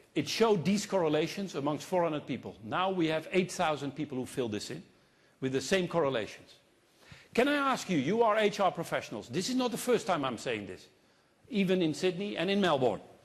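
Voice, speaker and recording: With a Dutch accent, a man speaks at a fairly quick pace in a high pitch. His tone is animated, with very wide pitch swings. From Netherlands. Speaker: consultant and keynote speaker. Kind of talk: keynote speech. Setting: stage with audience.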